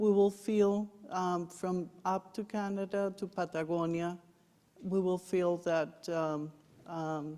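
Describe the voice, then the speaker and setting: Very slowly, a woman speaks at a medium pitch in a dark, mellow tone, her intonation fairly even. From Colombia. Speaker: former diplomat, trade expert. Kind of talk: panel discussion. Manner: hesitant, many fillers.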